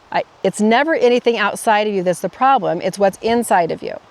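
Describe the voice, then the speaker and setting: A woman keeps a moderate pace and ordinary pitch variation while noticeable background noise runs underneath. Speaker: life coach podcaster. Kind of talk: casual vlog monologue. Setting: outdoors in a forest by a roadside. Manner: self-corrects, mumbling.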